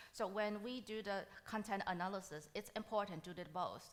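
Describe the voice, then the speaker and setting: This is a woman with a Taiwanese accent. Her pitch is medium. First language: Mandarin. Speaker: machine learning solutions architect, conference speaker. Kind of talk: conference Q&A.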